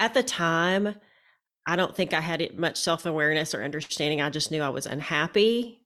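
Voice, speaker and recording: A woman with an unremarkable speaking voice talks at a fairly low pitch. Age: 40s. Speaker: physician turned interior designer and life coach. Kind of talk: interview. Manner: reflective, with frequent fillers.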